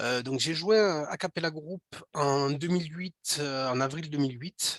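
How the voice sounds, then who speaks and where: With a Toulouse accent, a man speaks at a moderate pace with ordinary pitch variation, in a dry, close sound with no echo. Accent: Toulouse (southern French). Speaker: speech technology product developer presenting. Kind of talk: webinar presentation. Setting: online webinar. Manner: halting, many fillers and repetitions.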